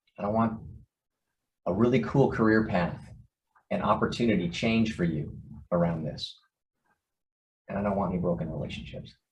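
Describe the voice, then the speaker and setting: With audible room echo, a man speaks at a fairly quick pace and a fairly low pitch, with ordinary pitch variation and long, frequent pauses. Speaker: organization CEO. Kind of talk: online town hall address. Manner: fast.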